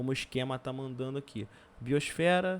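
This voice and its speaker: The man has an ordinary speaking voice at medium pitch. His pitch varies in an ordinary way. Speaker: geography teacher. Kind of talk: recorded lesson.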